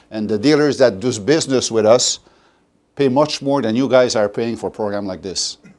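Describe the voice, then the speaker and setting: The speaker has a Quebec accent. The pitch variation is ordinary. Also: man. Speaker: sales presenter. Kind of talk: sales presentation to an audience. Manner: halting, many fillers and restarts.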